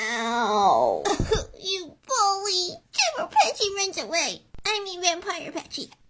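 A cartoonish character voice at an extremely high pitch. It runs on with hardly any pauses. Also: fairly slow pace. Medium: puppet show. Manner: mock-menacing, then whiny.

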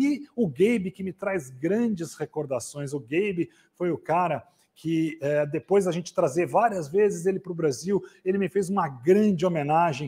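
Over a quiet background, a man talks at a moderate pace with lively intonation. His voice is high in pitch with a dark, mellow tone. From Brazil. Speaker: event host. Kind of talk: live event hosting. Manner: animated. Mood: warm, grateful.

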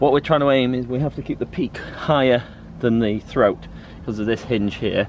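A man at a moderate pace with ordinary pitch variation, dry sound with no echo, and noticeable background noise. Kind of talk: tutorial. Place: boat. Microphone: camera far.

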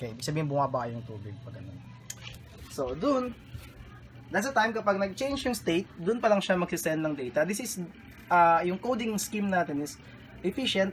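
A man talks at a fairly quick pace with a high pitch and very wide pitch swings, over light background noise. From Philippines. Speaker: electronics hobbyist; electronics hobbyist demonstrating project. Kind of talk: tutorial. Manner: halting. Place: home room. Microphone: phone near.

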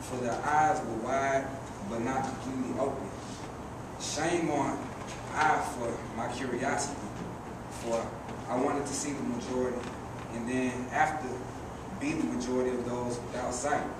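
A man speaks with long, frequent pauses over loud background noise, and the room echo is audible. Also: moderate pace. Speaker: poet performer. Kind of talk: spoken word poetry performance. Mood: serious, reflective. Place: stage. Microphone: camera far.

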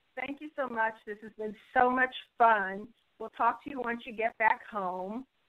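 Her bubbly tone comes at a fairly high pitch. The woman speaks at a fairly slow pace. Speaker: intuitive healer. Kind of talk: interview answer.

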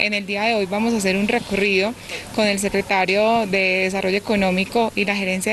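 A woman's monotone, flat delivery in a dry recording with no echo and light background noise. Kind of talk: interview answer. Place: garden. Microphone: handheld.

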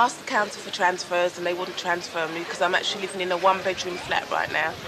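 Noticeable background noise around a woman speaking. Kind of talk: interview answer. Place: street. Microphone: old recording.

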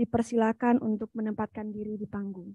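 With a dark, mellow tone and fairly even intonation, a woman speaks in a dry sound with no echo against a quiet background. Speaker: MC. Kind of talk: formal MC announcement. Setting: sound check on stage, hybrid event. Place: hall. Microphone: podium.

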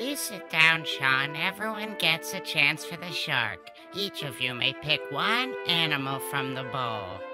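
A cartoonish character voice at a low-to-middle pitch talks at a fairly slow pace. Clear music plays in the background. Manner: calm, kindly firm.

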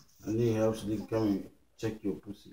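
Amid audible room echo, a man speaks quickly enough to sound fairly brisk, using a fairly low pitch, a dark, mellow tone and little pitch movement.

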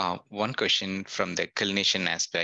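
Against a quiet background, a man speaks in a monotone, flat voice with a bright, sharp tone. The sound is dry with no echo, and his pace is fairly slow. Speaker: meeting participant. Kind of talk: audience question. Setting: video call. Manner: halting. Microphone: video call.

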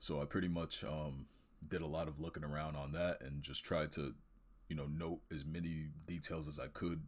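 In a very deep, low pitch, a man talks at a moderate pace with vocal fry. His intonation is monotone and flat. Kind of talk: casual portfolio walkthrough commentary.

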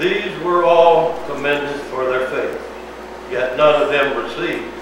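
A man talks at a fairly slow pace. There is strong room echo and noticeable background noise. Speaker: pastor. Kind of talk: scripture reading aloud. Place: church. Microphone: camera far.

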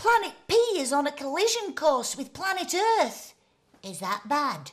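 This is a woman speaking in a gentle, warm tone. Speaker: bedtime story presenter. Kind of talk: bedtime story reading aloud for children, with character voices. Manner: gentle, warm and playful, with animated character voices and sound effects; slow, soothing pacing, with dramatic emphasis on words.

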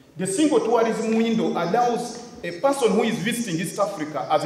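Audible room echo surrounds a man speaking at a high pitch and a fairly quick pace. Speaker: conference speaker. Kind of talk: public address. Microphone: podium.

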